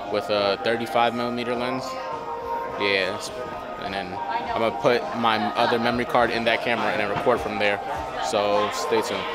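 Loud music plays in the background as a man speaks at a moderate pace with long, frequent pauses and a dry sound with no echo. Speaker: vlogger. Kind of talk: casual vlog chat. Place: hall. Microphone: phone near.

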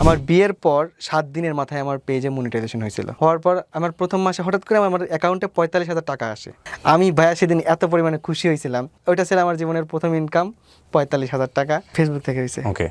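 A man with an unremarkable speaking voice, fairly high in pitch with ordinary pitch variation, comes through with a dry, close sound and no echo. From Bangladesh, Pabna. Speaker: vlogger. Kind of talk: interview testimony.

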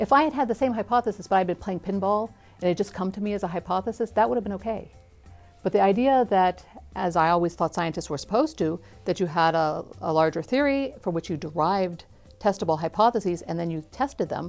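A woman speaks at a very fast pace with faint music in the background. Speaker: interviewee. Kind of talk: interview answer. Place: studio. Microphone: lapel.

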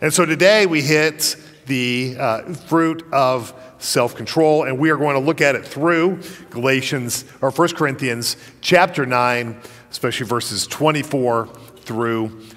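Faint music plays behind a man who speaks at a fairly slow pace with ordinary pitch variation. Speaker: pastor preaching. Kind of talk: sermon. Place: church. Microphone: podium.

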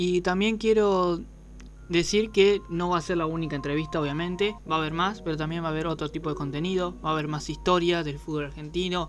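Speaking at a fairly quick pace, a man with a high pitch keeps a fairly even intonation. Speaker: youth football channel host. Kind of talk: casual interview.

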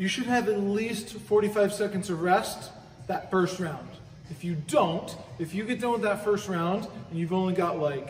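A man speaks at a fairly slow pace with fairly even intonation. Audible room echo and light background noise accompany his voice. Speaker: fitness coach. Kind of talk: workout explanation. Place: gym. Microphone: camera far.

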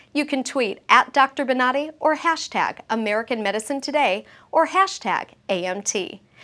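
Projecting her raised voice, a woman speaks at a high pitch and a moderate pace, with a bright, sharp tone and lively intonation. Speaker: show narrator and announcer. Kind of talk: scripted narration. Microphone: lapel.

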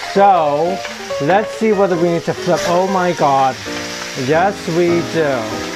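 Very slow speech over noticeable background noise. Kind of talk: cooking tutorial. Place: kitchen. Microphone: phone near.

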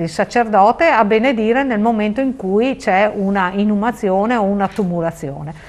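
A woman with lively intonation at a moderate pace. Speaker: local politician. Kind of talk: interview. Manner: animated. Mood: earnest, persuasive. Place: studio. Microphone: lapel.

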